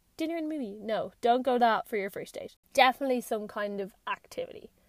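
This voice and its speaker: Recorded with a dry, close sound and no echo, a woman speaks in an Irish accent with ordinary pitch variation. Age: 20s. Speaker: podcast host. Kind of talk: casual monologue. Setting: in a parked car.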